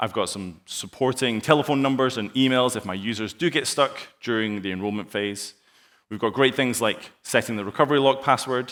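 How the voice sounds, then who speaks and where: On a very clean recording with a silent background, a man with a Scottish accent speaks at a fairly quick pace, medium pitch and ordinary pitch variation. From Scotland. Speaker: sales engineer. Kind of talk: conference presentation with live demo. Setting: stage with audience. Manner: fast.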